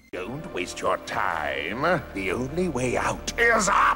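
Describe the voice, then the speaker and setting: Against clear background music, a man performs a cartoonish character voice very slowly at a fairly high pitch. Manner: taunting, smug.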